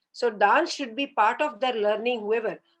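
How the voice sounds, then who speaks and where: With music in the background, a woman with a fairly high voice speaks at a moderate pace and ordinary pitch variation. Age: 70s. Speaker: classical dance teacher. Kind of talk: interview.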